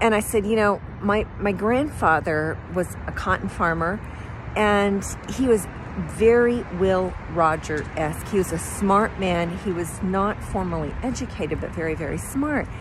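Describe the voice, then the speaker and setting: A woman talks at a fairly slow pace with ordinary pitch variation. The sound is dry with no echo, though there is noticeable background noise. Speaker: storyteller. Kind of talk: casual vlog storytelling. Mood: warm, amused. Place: street. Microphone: phone near.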